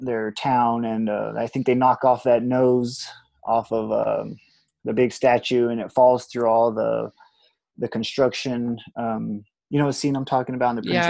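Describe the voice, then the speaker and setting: The delivery is monotone and flat at a moderate pace, with a dark, mellow tone, a dry sound with no echo and a quiet background. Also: man. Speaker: guest. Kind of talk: casual conversation on a call. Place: home room. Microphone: earbuds.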